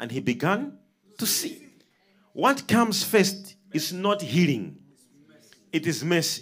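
Here a man talks at a very slow pace. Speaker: preacher. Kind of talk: sermon. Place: studio. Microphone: handheld.

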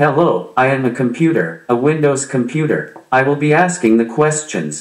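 A man does a put-on character voice at a medium pitch and a moderate pace. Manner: annoying, mechanical.

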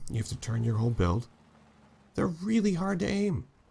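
A somewhat breathy man talks at a moderate pace. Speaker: gaming YouTuber. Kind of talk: casual gameplay commentary. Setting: gameplay recording. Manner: animated, excitable.

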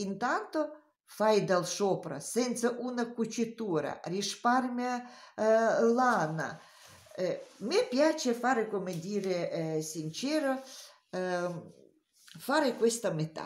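Very wide pitch swings at a very slow pace. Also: woman, fairly high pitch for a woman. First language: not Italian (speaking Italian). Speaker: knitting teacher. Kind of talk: tutorial. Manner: halting.

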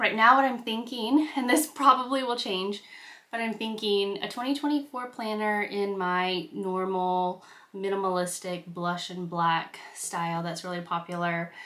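A woman's bright, sharp tone at a fairly slow pace. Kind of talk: casual vlog chat. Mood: cheerful, relaxed. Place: home room.

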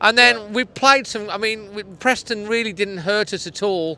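A man speaks in a raised, projected voice with a bright, sharp tone. The sound is dry with no echo. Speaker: presenter. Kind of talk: post-match fan commentary. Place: stadium. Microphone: handheld.

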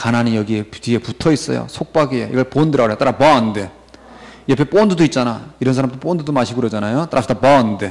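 A man talking at a very fast pace, with ordinary pitch variation, over a quiet background. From South Korea. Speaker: English vocabulary teacher. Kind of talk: lecture. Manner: animated. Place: studio.

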